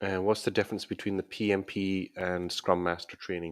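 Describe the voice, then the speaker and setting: A man with a very deep, low pitch and a Scottish accent, monotone and flat, in a very clean recording with a silent background. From Scotland. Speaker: YouTuber and scrum master coach. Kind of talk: live stream Q&A. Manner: casual, with hesitations and repetitions.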